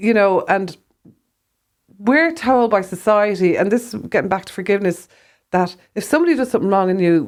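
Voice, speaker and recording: This woman has a medium-pitched voice with lively intonation and big swings in loudness. She talks fairly quickly but takes long, frequent pauses. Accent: Irish. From Ireland. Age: 60s. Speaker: herbalist, former rock photographer. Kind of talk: faith testimony conversation.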